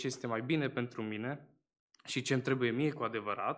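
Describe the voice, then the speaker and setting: A man speaks at medium pitch and a moderate pace. His intonation is fairly even. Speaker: baptism candidate; candidate. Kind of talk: testimony. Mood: earnest, slightly nervous. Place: church. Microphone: podium.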